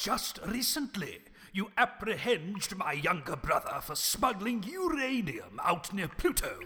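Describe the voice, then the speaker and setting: Using a put-on character voice, a man talks fairly slowly at a high pitch. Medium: audio drama. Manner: blustering, shouting.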